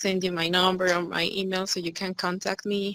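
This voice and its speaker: Speaking with a Spanish accent, a woman has a bright, sharp tone and a moderate pace. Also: dry, close sound with no echo. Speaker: student, English teacher. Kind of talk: casual chat.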